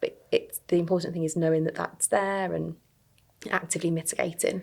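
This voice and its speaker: A woman talks at a fairly quick pace. She has a Birmingham accent. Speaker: early careers recruiter. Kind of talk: podcast interview.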